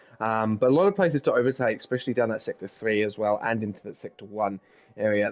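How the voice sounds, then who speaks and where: Speaking very fast, a man with an English accent uses a medium pitch. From Britain. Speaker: guest co-commentator. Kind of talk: live commentary.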